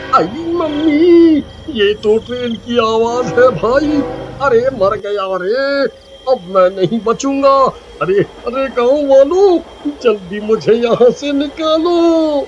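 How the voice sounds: Putting on a character voice, a man speaks slowly with few pauses in an extremely high pitch over faint background noise. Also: lively intonation.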